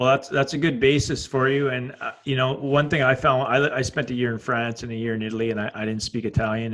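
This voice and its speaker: A man with a Canadian accent and an ordinary speaking voice talks at a fairly quick pace. His pitch is medium and his intonation fairly even. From Canada. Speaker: podcast host, former rugby player and coach. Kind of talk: casual chat.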